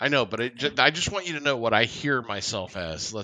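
In a put-on character voice, a man talks at medium pitch and a moderate pace with a nasal sound. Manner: imitating how they hear their own voice.

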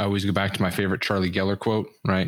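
The recording is very clean, with a silent background. A man with a fairly low pitch talks at a very fast pace. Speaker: career consultant. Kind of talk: interview conversation. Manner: upbeat, motivational.

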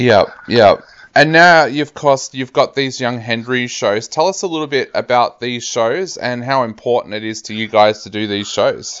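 In an Australian accent, a man speaks at a moderate pace with ordinary pitch variation. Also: medium pitch for a man. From rural Australia. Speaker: radio host. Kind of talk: casual interview.

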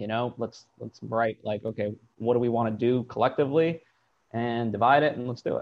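At a fairly quick pace, a man with a plain, everyday voice speaks at medium pitch with fairly even intonation.

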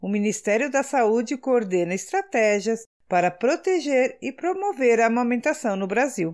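In a very clean recording with a silent background, a woman speaks at a fairly high pitch. Her pitch swings very widely, and she hardly pauses. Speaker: podcast co-host. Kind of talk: scripted health podcast talk.

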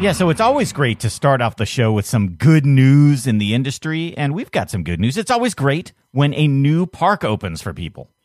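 On a very clean recording with a silent background, a man talks at a moderate pace in a fairly high pitch, with very wide pitch swings and hardly any pauses. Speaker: podcast host. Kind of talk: casual chat.

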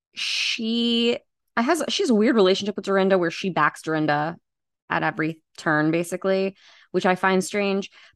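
A woman with an American accent has an unremarkable speaking voice at a medium pitch, with ordinary pitch variation and a moderate pace. The sound is dry and close with no echo, over a quiet background. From US, Long Island, New York. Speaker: podcast guest discussing reality TV. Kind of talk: casual chat.

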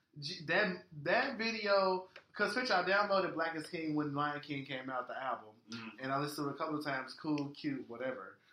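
A man with an American accent talks at a fairly high pitch and a fairly quick pace. His intonation is lively, and audible room echo surrounds him. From Florida. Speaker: podcast co-host. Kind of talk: casual chat. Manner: animated.

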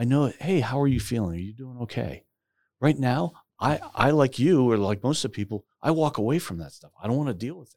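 A man with a normal speaking voice talks at a fairly quick pace and a medium pitch, with lively intonation and big swings in loudness. The recording is very clean, with a silent background. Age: 50s. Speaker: retired corporate CEO. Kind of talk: casual interview.

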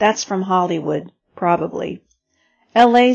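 A woman speaks at a moderate pace and medium pitch with ordinary pitch variation in a normal speaking voice. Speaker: radio reading-service reader. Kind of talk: reading aloud.

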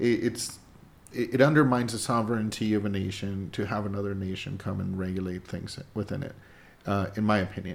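A man's fairly low voice at a very fast pace, fairly even in intonation, with long, frequent pauses and audible room echo. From Mexico. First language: Spanish. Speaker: podcast co-host, works in video production. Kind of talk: political discussion podcast. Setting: studio downtown.

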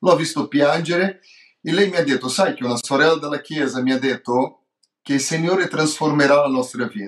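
A man with a Portuguese accent at a fairly quick pace, with ordinary pitch variation. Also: fairly high pitch for a man. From Brazil. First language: Portuguese (speaking Italian). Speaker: pastor. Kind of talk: testimony. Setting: remote call. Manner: halting, mixing Portuguese and Italian.

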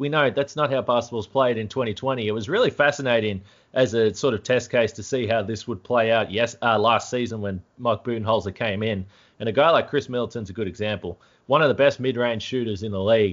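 Speaking very fast with an Australian accent, a man with a medium pitch shows ordinary pitch variation. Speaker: sports podcast host. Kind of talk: casual sports chat. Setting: remote call.

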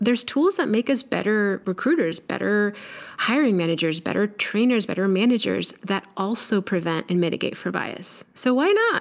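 A woman with an unremarkable speaking voice, medium pitch, lively intonation and a moderate pace. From Mexico, raised on US coasts. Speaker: leadership coach and speaker. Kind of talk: interview.

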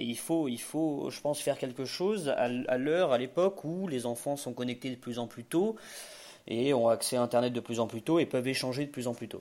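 This man's dark, mellow voice has ordinary pitch variation on a very clean recording with a silent background. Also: medium pitch for a man, moderate pace. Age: 20s. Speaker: startup founder and self-taught developer. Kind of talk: interview. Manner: halting, frequent repetitions and hesitations.

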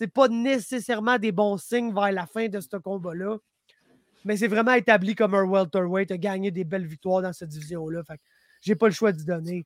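A man's high voice at a moderate pace, with ordinary pitch variation and big swings in loudness. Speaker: MMA podcast host. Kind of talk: casual chat. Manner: animated.

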